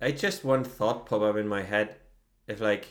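Man with a German accent at a moderate pace, ordinary pitch variation, very clean recording with a silent background. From Germany. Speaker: podcast co-host. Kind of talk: casual chat.

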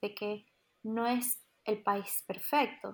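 This woman's voice is fairly high in pitch. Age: 30s. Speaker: immigrant and migration coach. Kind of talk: casual chat.

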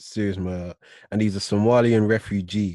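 A man with a British accent speaks in a fairly low pitch with a dark, mellow tone and fairly even intonation, the sound dry and close with no echo. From UK. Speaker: podcast host. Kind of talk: casual chat. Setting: video call.

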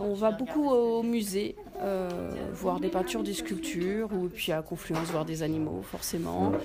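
A woman speaks at a medium pitch and a fairly slow pace, her voice swinging very widely in pitch. Audible room echo and noticeable background noise fill the recording. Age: 40s. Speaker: childminder. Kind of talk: interview.

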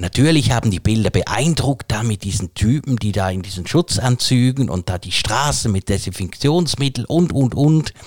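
At a moderate pace, a man with a somewhat breathy, medium-pitched voice speaks with lively intonation in a dry, close sound with no echo. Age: 40s. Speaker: podcast co-host. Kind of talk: casual chat.

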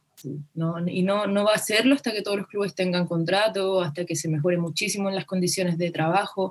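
A woman has an ordinary speaking voice at medium pitch with fairly even intonation. She talks at a fairly quick pace with hardly any pauses. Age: 20s. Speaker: footballer and activist. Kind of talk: interview.

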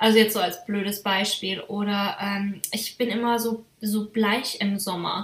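Over noticeable background noise, a woman speaks at a fairly slow pace in a monotone, flat intonation. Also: medium pitch for a woman, hardly any pauses. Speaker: podcast host. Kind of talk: casual chat.

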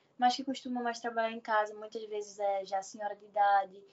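A woman at a fairly high pitch with monotone, flat intonation. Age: 20s. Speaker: seamstress and small clothing shop owner. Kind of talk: casual interview. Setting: online call. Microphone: unstable connection.

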